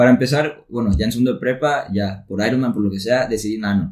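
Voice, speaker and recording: A man in a plain, everyday voice talks at a fairly quick pace with ordinary pitch variation. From Mexico, Tepic, Nayarit. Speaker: engineering student. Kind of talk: casual chat.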